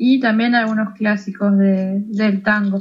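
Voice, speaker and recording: A fairly high-pitched, somewhat breathy woman speaks with a Uruguayan accent. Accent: Rioplatense Uruguayan Spanish. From Uruguay, Colonia department. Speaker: tango singer and psychologist. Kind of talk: interview.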